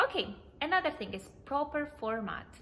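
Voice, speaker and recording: A woman is heard talking with noticeable background noise. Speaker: immigration vlogger. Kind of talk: tutorial. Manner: fast.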